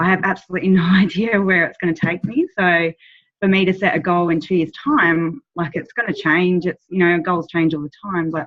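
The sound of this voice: Speaking at a fairly quick pace, a woman keeps a fairly low pitch and fairly even intonation.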